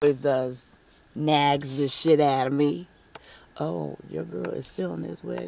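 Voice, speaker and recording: A woman speaks fairly slowly with a very deep, low pitch and very wide pitch swings. The sound is dry with no echo, with light background noise. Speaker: vlogger, stay-at-home mom; home mom vlogger. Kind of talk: casual vlog chat. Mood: playful, upbeat. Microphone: phone near.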